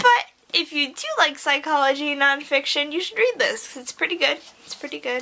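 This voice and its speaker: Over noticeable background noise, a woman speaks in a raised, projected voice with an animated tone at a moderate pace. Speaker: book vlogger. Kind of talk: casual chat.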